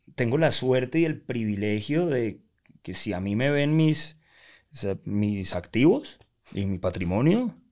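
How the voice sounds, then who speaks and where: With a normal speaking voice, a man at medium pitch speaks with lively intonation. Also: fairly slow pace. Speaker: life coach. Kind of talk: interview.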